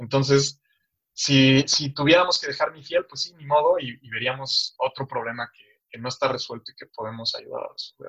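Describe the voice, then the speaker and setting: A man speaks at a moderate pace, his loudness swinging widely. The sound is dry and close, with no echo. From Mexico City. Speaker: tech startup founder. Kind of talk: interview.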